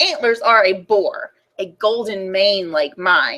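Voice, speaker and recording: A female-sounding, put-on character voice speaks at a medium pitch. The pace is fairly slow. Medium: read story.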